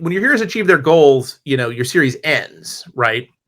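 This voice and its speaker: A man talks with a fairly high pitch. His tone is bright and sharp, and his intonation is lively. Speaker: comics writer. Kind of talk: lecture. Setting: stage with audience. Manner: fast.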